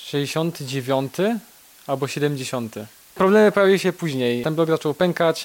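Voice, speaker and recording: Here a man speaks very slowly. His pitch sits fairly high. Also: ordinary pitch variation. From Poland, Kraków (Nowa Huta). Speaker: IT specialist. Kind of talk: interview.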